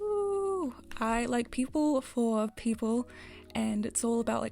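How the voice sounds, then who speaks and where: A woman's fairly high voice in a New Zealand accent, with music in the background. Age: 20s. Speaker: gaming content creator. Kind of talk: casual chat.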